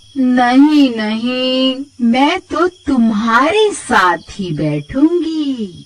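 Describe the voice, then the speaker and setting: A female-sounding put-on character voice speaks at a very slow pace with a high pitch. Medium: read story. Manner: sly, then menacing.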